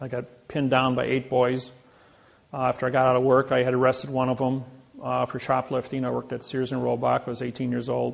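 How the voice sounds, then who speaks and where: With an American accent, a man speaks at a medium pitch. His pace is fairly quick. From US Midwest, Indiana. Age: 60s. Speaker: seminar speaker; speaker. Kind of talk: seminar talk. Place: hall. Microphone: lapel.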